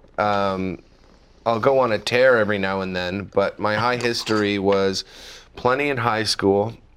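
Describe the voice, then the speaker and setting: A man with a Canadian accent and a plain, everyday voice speaks at a moderate pace, his fairly low pitch held to fairly even intonation. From Canada. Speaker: comedian. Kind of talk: casual chat.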